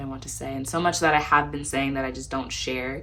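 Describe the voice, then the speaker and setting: A soft-spoken woman talks at a very fast pace in a monotone, flat intonation. Noticeable background noise and audible room echo surround her. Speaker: lifestyle vlogger and poet. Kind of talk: casual Q&A vlog. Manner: quiet at times.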